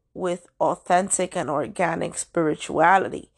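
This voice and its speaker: Delivered at a fairly slow pace, this is an ordinary speaking voice with ordinary pitch variation. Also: woman. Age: 30s. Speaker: astrology and spirituality podcaster. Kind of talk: solo monologue podcast. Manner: casual, rambling with many fillers.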